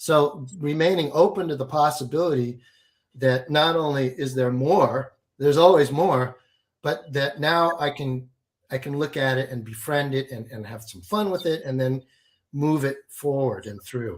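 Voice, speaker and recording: With an unremarkable speaking voice, a man talks at a moderate pace and a fairly high pitch, his loudness swinging widely and his pitch varying in an ordinary way. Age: 60s. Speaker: alchemy and business coach. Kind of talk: interview.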